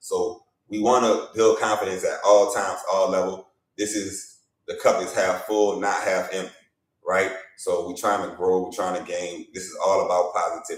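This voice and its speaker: Audible room echo surrounds a man speaking in a Louisiana accent with big swings in loudness. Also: moderate pace. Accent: Louisiana accent, unfaked. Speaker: basketball media journalist and evaluator. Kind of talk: live stream talk show. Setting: livestream. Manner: animated.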